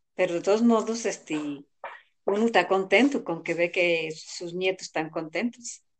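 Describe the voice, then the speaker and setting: The speaker goes at a fairly slow pace. Pitch moves with ordinary variation. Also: woman. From rural central Mexico. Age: 60s. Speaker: elderly interviewee. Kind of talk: interview.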